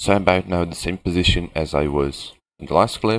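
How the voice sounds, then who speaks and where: Speaking at a moderate pace with a non-native accent, the man has a very deep, low pitch. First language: not English. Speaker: gaming video creator. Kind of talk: gameplay tour narration.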